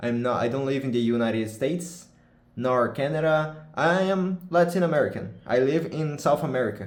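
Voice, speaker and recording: A man with a Portuguese accent and a fairly high pitch speaks at a moderate pace with lively intonation over noticeable background noise. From Brazil. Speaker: gaming streamer. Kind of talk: casual vlog talk. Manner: halting, self-correcting.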